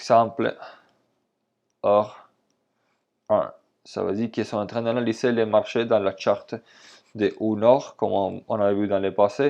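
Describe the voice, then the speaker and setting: A man talks at a fairly slow pace with long, frequent pauses. The background is quiet. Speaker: trading instructor. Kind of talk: tutorial.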